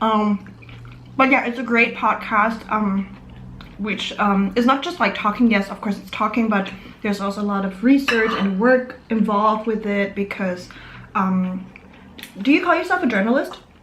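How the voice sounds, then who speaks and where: A woman talks at a moderate pace. There is audible room echo and noticeable background noise. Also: fairly high pitch for a woman, ordinary pitch variation. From Germany, Vietnamese-German family. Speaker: YouTuber. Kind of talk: casual chat over a meal. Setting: home, eating at table on camera. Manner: casual, filler-heavy.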